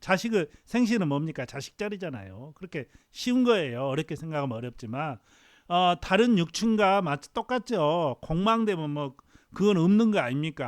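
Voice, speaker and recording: Very clean recording with a silent background and a dry, close sound with no echo: a man at a high pitch, very wide pitch swings, moderate pace. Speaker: fortune teller. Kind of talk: lecture. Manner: halting.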